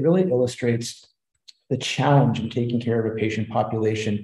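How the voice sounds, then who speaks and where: A man with a somewhat breathy, dark and mellow tone talks at a moderate pace amid audible room echo. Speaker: presenter. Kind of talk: lecture. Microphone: webcam.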